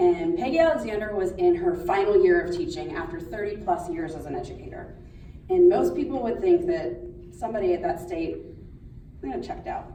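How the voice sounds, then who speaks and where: A woman talks in an American accent amid clearly audible background noise, with some echo from the room. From Pittsburgh, Pennsylvania. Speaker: schoolteacher. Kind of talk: speech. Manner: loud.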